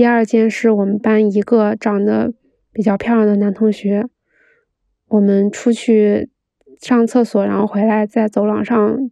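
Over a quiet background, a woman with a fairly high pitch and a dark, mellow tone speaks at a fairly slow pace in monotone, flat intonation, the sound dry and close with no echo. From Beijing, China. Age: 20s. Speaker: storyteller. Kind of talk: reading diary aloud.

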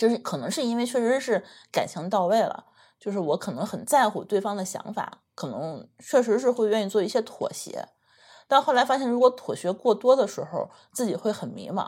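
A woman's normal speaking voice, fairly high in pitch, with lively intonation at a fairly quick pace. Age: 30s. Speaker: podcast co-host. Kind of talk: casual chat.

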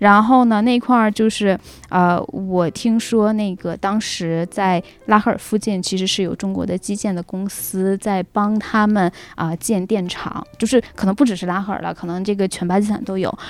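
Moderate pacing and fairly even intonation from a woman at a medium pitch. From Northeast China. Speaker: returning guest sharing travel and work experiences. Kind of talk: casual chat. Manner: halting, many fillers.

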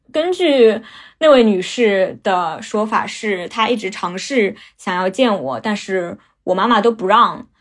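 With a plain, everyday voice, a woman speaks at a fairly slow pace and medium pitch with lively intonation, on a very clean recording with a silent background. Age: 20s. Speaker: storyteller. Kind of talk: personal testimony.

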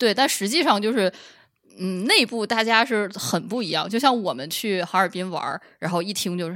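Pitched at a medium level, a woman speaks at a moderate pace with lively intonation and a bright, sharp tone. The recording is very clean, with a silent background. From Northeast China, Shenyang. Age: 30s. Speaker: PhD researcher. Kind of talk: casual chat.

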